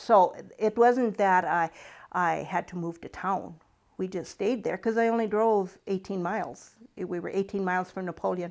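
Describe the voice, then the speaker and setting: A woman with a North Dakota accent speaks with fairly even intonation. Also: medium pitch for a woman, moderate pace, quiet background. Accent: Upper Midwest North Dakota. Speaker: retired farm woman. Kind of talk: oral history interview.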